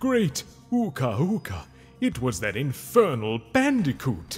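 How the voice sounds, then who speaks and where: Clear music plays behind the speaker. He is a man using a put-on character voice at a fairly slow pace. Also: medium pitch for a man. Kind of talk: video game cutscene voice impression. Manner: nervous, pleading.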